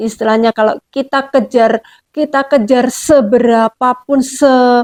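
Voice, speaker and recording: The sound is dry and close with no echo as a woman talks at a high pitch. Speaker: YouTube interviewer. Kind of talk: casual interview questions.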